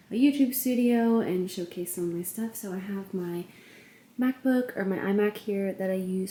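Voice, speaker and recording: Noticeable background noise sits behind a woman speaking at a fairly slow pace. Her medium pitch holds fairly even intonation. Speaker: lifestyle vlogger. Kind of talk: casual vlog. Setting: home studio room.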